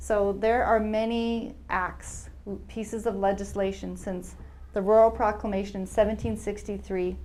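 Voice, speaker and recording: A woman with a Canadian accent at a fairly slow pace, with audible room echo. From Alberta, Canada. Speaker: researcher and speaker on historical trauma. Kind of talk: lecture.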